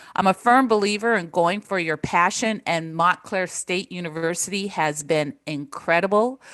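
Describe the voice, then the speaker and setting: Against a quiet background, a woman talks at a moderate pace with hardly any pauses and ordinary pitch variation. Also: medium pitch for a woman. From Japan, then United States; military family. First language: Japanese. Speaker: professor, former corporate social responsibility executive. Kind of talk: interview.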